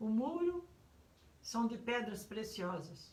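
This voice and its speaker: Amid audible room echo, a woman with a fairly high, somewhat breathy voice speaks at a very slow pace. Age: 70s. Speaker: pastor. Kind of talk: sermon. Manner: halting.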